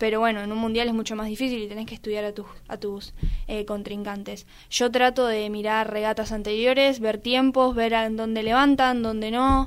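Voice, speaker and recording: At a moderate pace, a woman speaks in a flat monotone with a fairly high pitch. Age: 20s. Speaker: athlete. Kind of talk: interview.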